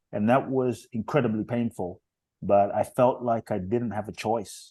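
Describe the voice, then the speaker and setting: The man's tone is dark and mellow, at medium pitch. He speaks at a moderate pace. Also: quiet background. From London, England. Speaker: inspirational speaker. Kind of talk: interview conversation. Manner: emphatic.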